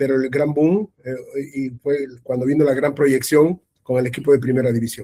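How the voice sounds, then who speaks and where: A man's dark, mellow tone at a medium pitch, fairly even in intonation and moderate in pace, with a dry, close sound with no echo. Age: 60s. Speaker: sports journalist. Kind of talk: interview. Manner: halting, many repetitions.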